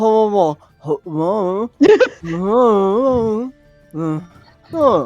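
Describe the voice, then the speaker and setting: Someone mumbles in a put-on character voice at a fairly high pitch. Faint music plays in the background. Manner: mumbling, speaking with mouth full.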